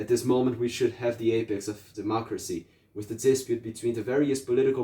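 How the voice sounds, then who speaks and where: At a very fast pace, a man speaks at a medium pitch, somewhat breathy, with a dark, mellow tone and fairly even intonation. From Brazil. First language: Portuguese. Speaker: political activist. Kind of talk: reading aloud. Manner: halting, frequent self-corrections.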